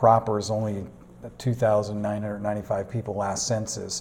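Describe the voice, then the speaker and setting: A man speaks in an American accent with a fairly low pitch and a dark, mellow tone. Room echo is audible. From US New England, Manchester, New Hampshire. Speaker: pastor. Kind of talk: interview. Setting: church classroom.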